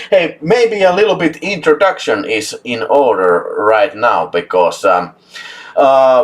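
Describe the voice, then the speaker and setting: A man with a Finnish accent speaks at a very slow pace. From Finland. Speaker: YouTube film channel host. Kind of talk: casual live chat. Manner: animated.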